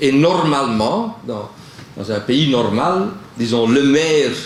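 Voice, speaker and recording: Speech comes very slowly, with very wide pitch swings. Room echo and background noise are both noticeable. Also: man. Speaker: panel speaker on culture. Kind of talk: panel talk. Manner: halting, many fillers.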